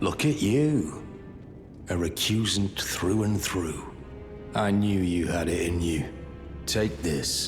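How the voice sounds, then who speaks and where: A man uses a put-on character voice, pitched very deep and low, at a fairly slow pace. Long, frequent pauses break up his speech while clear music plays in the background. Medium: video game.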